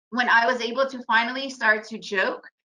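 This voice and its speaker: The tone is bright and sharp, with fairly even intonation. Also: woman. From United States. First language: Russian. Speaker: trader and trading educator. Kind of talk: webinar presentation.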